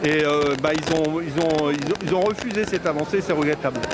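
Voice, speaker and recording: A man speaks at a moderate pace with a fairly high pitch. His pitch varies ordinarily, and noticeable background noise is present. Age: 60s. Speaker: trade union representative. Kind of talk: street interview. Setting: outdoors at a street protest. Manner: halting, repetitive.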